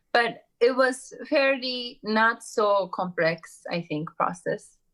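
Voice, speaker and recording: In a Japanese accent, a woman speaks at a fairly high pitch with lively intonation. Her pace is very slow. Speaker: entrepreneur and author. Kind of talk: interview conversation. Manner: halting, many fillers.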